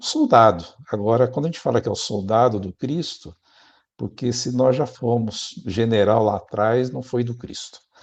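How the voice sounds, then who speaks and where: A man talks at a moderate pace, with a medium pitch and ordinary pitch variation. His loudness swings widely. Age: 60s. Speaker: spiritist speaker and prison letter volunteer. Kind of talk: interview conversation. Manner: halting, with self-corrections.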